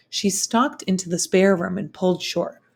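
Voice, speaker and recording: A raspy put-on character voice from a woman, medium in pitch, at a moderate pace, on a very clean recording with a silent background. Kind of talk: classroom read-aloud. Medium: read story.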